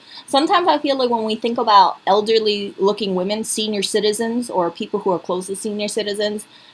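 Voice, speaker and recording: Very fast speech from a woman with a fairly high pitch, over noticeable background noise. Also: ordinary pitch variation. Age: 30s. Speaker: vlogger. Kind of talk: casual vlog commentary.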